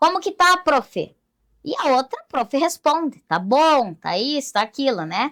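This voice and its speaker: The voice moves at a fairly slow pace. Its pitch swings very widely. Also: woman, high pitch for a woman. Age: 40s. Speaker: blind teacher. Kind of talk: interview.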